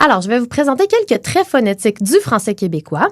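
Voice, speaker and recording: A woman speaks with a Quebec accent, her pitch high and her pace moderate. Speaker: linguist and podcast co-host. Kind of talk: educational chat.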